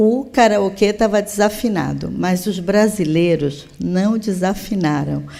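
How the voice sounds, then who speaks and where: A woman's dark, mellow voice sits at a medium pitch with ordinary pitch variation, heard with audible room echo. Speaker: public health official. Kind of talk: conference plenary lecture. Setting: conference stage with audience.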